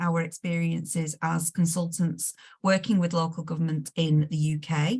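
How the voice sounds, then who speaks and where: A somewhat breathy voice moves at a moderate pace against a quiet background. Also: woman. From northern England, Lancashire. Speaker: management consultant, webinar host. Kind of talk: webinar introduction. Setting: video call. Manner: relaxed, friendly.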